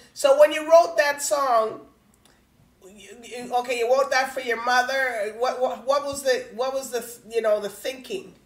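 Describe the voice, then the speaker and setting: Her pitch is high, with ordinary variation, and her loudness swings a lot. The woman speaks at a fairly slow pace amid audible room echo. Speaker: talk show host. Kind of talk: casual interview. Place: home room.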